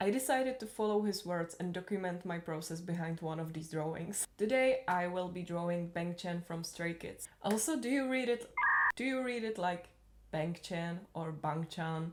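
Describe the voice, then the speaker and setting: Over noticeable background noise, a woman with a non-native accent speaks at a moderate pace and fairly low pitch, her pitch varying in an ordinary way. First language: not English. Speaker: YouTuber, hobby artist. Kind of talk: casual voiceover narration.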